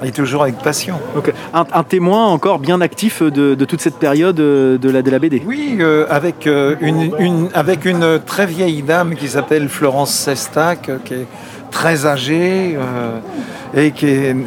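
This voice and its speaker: Amid noticeable background noise, a man with a fairly high pitch and ordinary pitch variation talks at a fairly slow pace. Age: 70s. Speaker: comic book artist. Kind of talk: interview.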